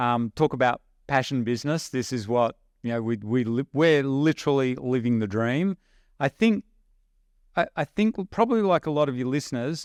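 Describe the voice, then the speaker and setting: A man with an Australian accent talks with ordinary pitch variation in a dry, close sound with no echo and a quiet background. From rural Australia. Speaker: online business investor. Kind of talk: podcast interview. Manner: animated.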